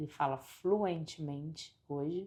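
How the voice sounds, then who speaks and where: A woman's dark, mellow tone. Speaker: life coach / motivational vlogger. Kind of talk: motivational talk to camera. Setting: at home by a window.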